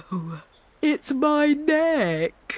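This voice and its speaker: The speaker puts on a character voice. The pitch sits high. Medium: read story. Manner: sniffly, sad.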